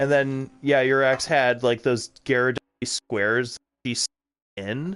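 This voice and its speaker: This man has an American accent and a medium pitch, speaking at a fairly slow pace with fairly even intonation. The sound is dry and close, with no echo. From Wisconsin, US Upper Midwest. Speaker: gaming streamer. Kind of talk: casual chat. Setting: live stream.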